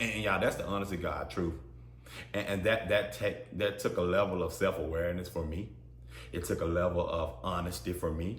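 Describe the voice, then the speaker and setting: The tone is animated, and audible room echo surrounds the voice. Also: man. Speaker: podcast host. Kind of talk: solo podcast monologue. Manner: loud; animated, repetitive stammering.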